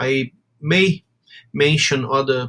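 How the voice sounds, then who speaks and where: A man with a strong Brazilian accent speaks in a fairly high voice, his intonation fairly even. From southern Brazil (Rio Grande do Sul, gaúcho). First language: Portuguese. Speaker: university lecturer and sport policy researcher. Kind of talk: lecture. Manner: halting, with frequent fillers and repetitions.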